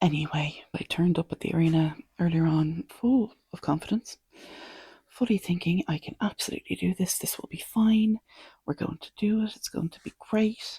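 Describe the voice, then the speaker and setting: A quiet, somewhat breathy voice with a dark, mellow tone, big swings in loudness and ordinary pitch variation moves at a moderate pace in a dry, close sound with no echo. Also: woman, fairly low pitch for a woman. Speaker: archery podcaster. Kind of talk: casual monologue.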